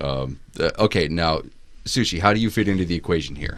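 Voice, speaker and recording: Very deep and low, a man's voice carries vocal fry and ordinary pitch variation. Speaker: podcast host. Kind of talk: casual chat.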